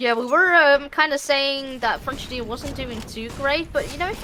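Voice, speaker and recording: An animated, raised and projected voice with lively intonation at a moderate pace, over noticeable background noise. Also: woman. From Netherlands. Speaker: esports caster. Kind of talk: live commentary.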